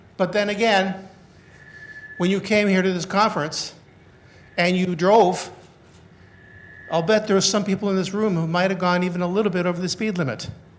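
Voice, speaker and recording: With a high pitch, a man talks at a fairly quick pace but with long, frequent pauses, amid noticeable background noise and audible room echo. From northern Canada. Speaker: criminologist and former police officer. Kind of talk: conference lecture. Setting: conference hall with audience. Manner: fast when excited.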